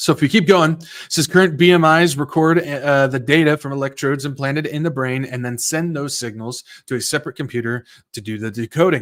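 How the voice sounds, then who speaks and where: A man speaks at a fairly quick pace with a fairly high pitch and ordinary pitch variation. His loudness swings widely over a very clean recording with a silent background. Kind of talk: commentary reading from articles. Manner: fast; halting.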